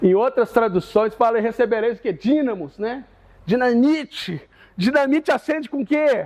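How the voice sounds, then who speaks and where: A man's extremely high-pitched voice at a fairly slow pace. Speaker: Sunday school teacher. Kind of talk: Bible class lesson. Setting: church. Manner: animated.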